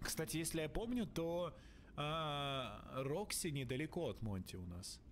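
Speaking at a fairly slow pace, a man uses a fairly high pitch and lively intonation.

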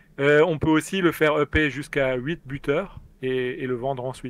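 A man speaks with an Alsatian accent. His pitch is fairly high, and his intonation fairly even. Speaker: experienced online game player. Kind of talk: casual live stream chat. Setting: live online stream, remote call.

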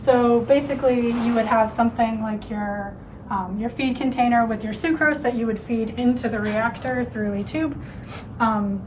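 Noticeable background noise sits behind a woman speaking at a moderate pace. Her intonation stays fairly even. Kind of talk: lab tour explanation. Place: classroom. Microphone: camera far.

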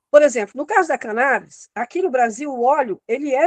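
In a quiet background, a high-pitched woman speaks with very wide pitch swings. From Piauí, Brazil. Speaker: guest. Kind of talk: casual panel discussion. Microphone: video call.

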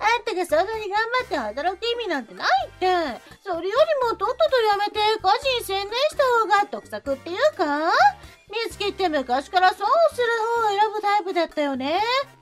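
With music in the background, a woman speaks at an extremely high pitch and a moderate pace, her intonation lively. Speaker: voice actor narrator. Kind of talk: dramatized chat reading.

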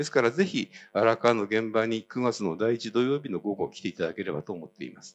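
A man talks at a fairly quick pace, his loudness swinging widely. Light background noise sits behind him. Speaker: citizen historian, activist; speaker. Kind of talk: speech. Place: hall. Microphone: handheld.

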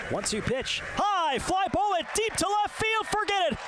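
Against noticeable background noise, a man speaks in a raised, projected voice at an extremely high pitch. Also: dry sound with no echo. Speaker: baseball play-by-play announcer. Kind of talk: live sports commentary, baseball play-by-play. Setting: stadium broadcast, radio call of game. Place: booth.

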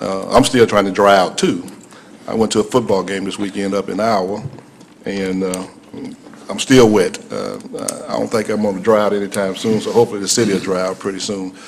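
In an American accent, a man with a fairly low pitch speaks at a fairly quick pace with fairly even intonation. Long, frequent pauses break up his speech, and light background noise is present. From US South. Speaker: city councilman. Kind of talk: council meeting remarks. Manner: halting. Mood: relaxed, joking. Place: hall. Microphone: podium.

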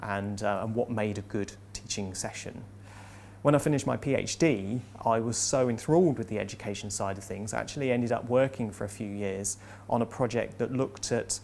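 Over light background noise, a man speaks with vocal fry and ordinary pitch variation. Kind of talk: interview answer. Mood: warm, enthusiastic reflection. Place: classroom. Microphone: lapel.

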